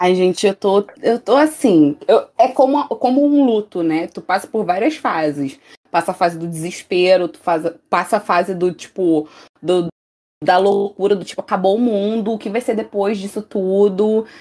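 With a dark, mellow tone and lively intonation, a woman speaks at a moderate pace in a medium pitch. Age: 20s. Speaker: student podcast co-host, singer. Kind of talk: casual chat.

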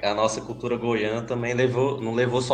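A man with a Goiás accent speaks at a moderate pace. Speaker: podcast host. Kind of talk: casual chat. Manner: animated.

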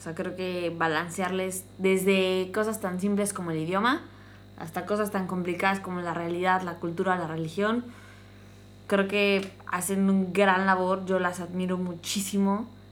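With audible room echo, a woman speaks at medium pitch and a fairly slow pace in a monotone, flat intonation. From Mexico, small town. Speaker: podcast host. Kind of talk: casual chat.

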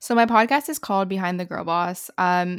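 Over a very clean recording with a silent background, a woman talks in a normal speaking voice. Her pitch is medium with ordinary variation, and her pace is fairly quick. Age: 20s. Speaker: student entrepreneur and content creator. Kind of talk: casual interview chat.

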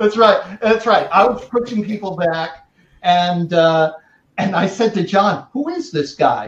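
An American accent at a fairly slow pace, with ordinary pitch variation. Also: man, high pitch for a man. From New York. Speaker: talent agency owner and podcast host. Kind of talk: casual chat.

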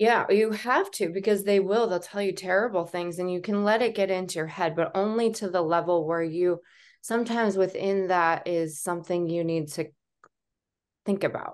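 A woman with an American accent speaks at a moderate pace in a plain, everyday voice of medium pitch. Her intonation is fairly even, and the background is quiet. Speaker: entrepreneur. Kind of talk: interview.

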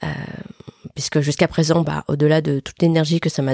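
A woman with a very deep, low pitch and a dark, mellow tone talks very fast in a flat monotone, the sound dry and close with no echo. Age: 40s. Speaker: podcast host. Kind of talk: casual interview answers. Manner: hesitant.

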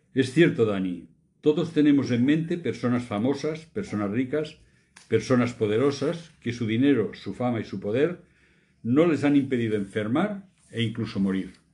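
A man's medium-pitched voice, dark and mellow in tone, with lively intonation at a moderate pace. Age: 70s. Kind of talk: casual faith discussion.

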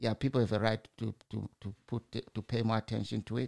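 A fairly low-pitched man's voice in a Zimbabwean accent, with vocal fry, a moderate pace, and a dry, close sound with no echo on a very clean recording with a silent background. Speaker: broadcaster or podcaster commenting on news. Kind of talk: solo opinion monologue. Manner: informal, halting with fillers.

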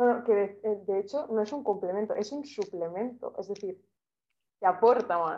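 A woman with a plain, everyday voice speaks at a medium pitch and moderate pace with ordinary pitch variation. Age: 20s. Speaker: art student and photographer. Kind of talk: casual interview.

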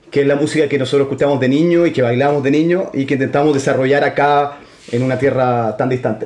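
Speaking at a very fast pace, a man with a fairly high voice keeps his intonation fairly even. Noticeable background noise runs underneath. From Santiago, Chile. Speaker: band musician. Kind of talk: interview.

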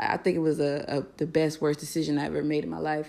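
The recording is very clean, with a silent background. A woman speaks with a very deep, low pitch. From Florida (Fort Lauderdale and Tallahassee). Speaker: podcast host, military air traffic controller. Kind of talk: casual monologue. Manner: casual, relaxed.

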